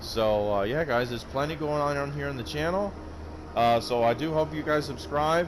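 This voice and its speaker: Against noticeable background noise, a man talks at a fairly quick pace with a medium pitch and lively intonation. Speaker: gaming YouTuber. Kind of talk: gameplay commentary outro. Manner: halting.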